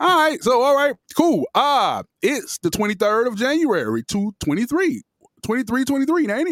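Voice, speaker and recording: Speaking at a moderate pace, a man with an extremely high pitch uses lively intonation, his sound dry and close with no echo. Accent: American. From Miami, Florida. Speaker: podcast co-host. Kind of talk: casual chat.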